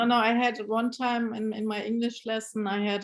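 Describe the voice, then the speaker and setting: A woman talks with a German accent. Her pace is moderate. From Germany. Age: 50s. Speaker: brand ambassador and novelist. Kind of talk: interview. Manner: halting.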